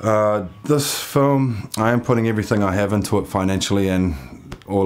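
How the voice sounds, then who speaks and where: Man with a New Zealand accent at a moderate pace. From New Zealand, Waitakere west of Auckland. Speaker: filmmaker and geologist. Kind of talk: grant application video, personal pitch. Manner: hesitant, many fillers and repetitions. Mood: sincere, earnest. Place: home room.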